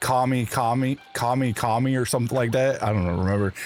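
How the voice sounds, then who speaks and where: Over music in the background, a man talks at a moderate pace in a medium pitch, his intonation fairly even. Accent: American. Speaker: video game streamer. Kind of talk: casual livestream chat with chat readers. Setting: live stream. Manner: stammering, repeats words.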